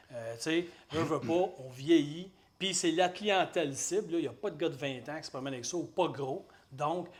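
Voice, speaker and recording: This man speaks with a Quebec accent at a fairly high pitch, using ordinary pitch variation. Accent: Québécois French. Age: 60s. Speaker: motorcycle journalist. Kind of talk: casual chat.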